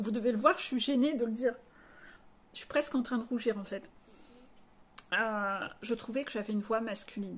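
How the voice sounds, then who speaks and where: A woman speaks at a fairly high pitch with ordinary pitch variation and a moderate pace. Her speech has long, frequent pauses. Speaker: life coach. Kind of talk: spiritual coaching video monologue. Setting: video recorded to camera.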